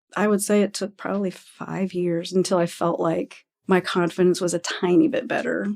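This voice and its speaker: A woman with an American accent speaks at medium pitch and a moderate pace, with fairly even intonation. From Indiana. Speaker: sign language interpreter. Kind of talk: interview conversation. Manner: halting.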